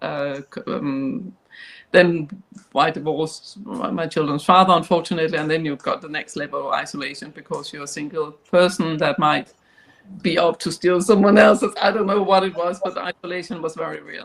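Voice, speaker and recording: A woman with a Danish accent speaks at a fairly low pitch. Her pace is fairly quick, with ordinary pitch variation. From Denmark. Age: 60s. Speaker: professor and company chair. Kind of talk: panel discussion.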